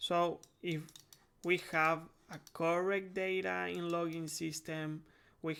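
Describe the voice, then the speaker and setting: A man with a Spanish accent, high in pitch, with a bright, sharp tone, monotone, flat intonation, and a very slow pace, in a very clean recording with a silent background. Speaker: game development tutorial creator. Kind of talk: tutorial. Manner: halting, many fillers.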